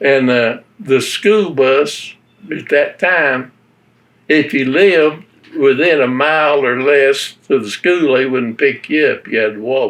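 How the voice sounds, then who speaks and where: A man speaks with an Appalachian accent. His pace is fairly slow, with ordinary pitch variation. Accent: Appalachian Southern US. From western North Carolina (Avery County, Appalachia). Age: 90s. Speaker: war veteran. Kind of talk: oral history interview.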